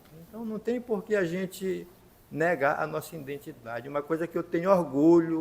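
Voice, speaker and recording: Speaking at a moderate pace, a man with an unremarkable speaking voice has fairly high pitch and ordinary pitch variation. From Maranhão, Brazil (São Luís). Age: 60s. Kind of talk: talk show testimony.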